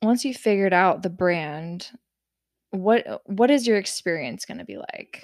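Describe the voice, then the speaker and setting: An unremarkable speaking voice talks at a fairly slow pace with lively intonation and big swings in loudness, captured on a very clean recording against a silent background. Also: woman, medium pitch for a woman. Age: 30s. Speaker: cannabis marketing podcast co-host. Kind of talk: casual chat.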